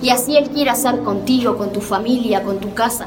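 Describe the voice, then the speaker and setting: With a Uruguayan accent, a woman talks at a moderate pace, her pitch fairly high and her intonation fairly even. Noticeable background noise and audible room echo surround her voice. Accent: Rioplatense Spanish (Uruguayan). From Uruguay, Montevideo. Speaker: preacher. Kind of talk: testimony and sermon. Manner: hesitant with filler words.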